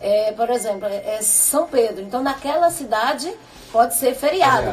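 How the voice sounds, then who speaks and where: Moderate pace and high pitch from a woman, amid noticeable background noise. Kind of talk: radio talk show.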